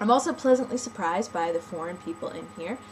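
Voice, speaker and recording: Clear background noise accompanies a woman speaking with an American accent. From Nebraska, US Midwest. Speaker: online community member. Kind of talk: casual vlog. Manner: unplanned, rambling with fillers.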